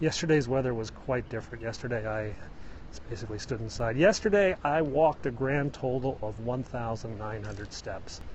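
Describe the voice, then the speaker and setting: Somewhat breathy, a man with an American accent and medium pitch talks at a moderate pace with ordinary pitch variation. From US Midwest, Illinois. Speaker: live-stream vlogger. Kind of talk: casual live-stream chat while hiking. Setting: outdoors on a hike. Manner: conversational.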